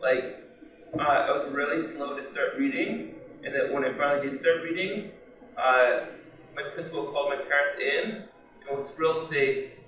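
A man speaks at a moderate pace with a fairly high pitch and a fairly bright tone. His pitch varies in an ordinary way, and the room adds a strong echo.

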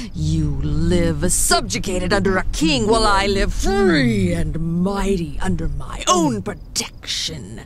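A woman uses a put-on character voice at a fairly slow pace, with hardly any pauses and clear background noise behind her. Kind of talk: dramatic fantasy audio roleplay. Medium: audio drama. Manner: haughty, menacing, contemptuous.

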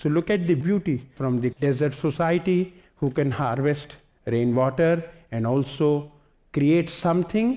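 A man with an Indian accent speaks at a fairly slow pace in a dark, mellow tone, his pitch varying in an ordinary way. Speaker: environmentalist. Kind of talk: lecture. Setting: stage with audience.

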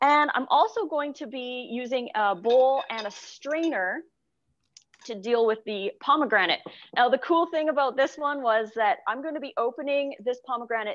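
A woman with a high pitch speaks at a moderate pace with ordinary pitch variation, against a quiet background. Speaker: cooking show host. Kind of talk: tutorial. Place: kitchen.

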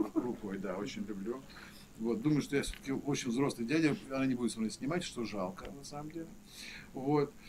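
A man talks at a moderate pace over light background noise. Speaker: event host, film school teacher. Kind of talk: public talk introduction. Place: hall.

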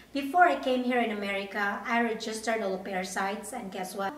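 A woman at a moderate pace with ordinary pitch variation, amid audible room echo. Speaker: au pair vlogger. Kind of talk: casual vlog chat. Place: home room.

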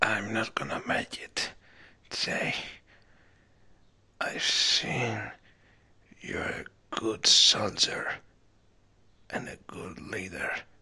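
At a very slow pace, a man with a raspy, medium-pitched voice speaks with long, frequent pauses. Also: big swings in loudness. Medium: audio drama. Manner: calm, solemn.

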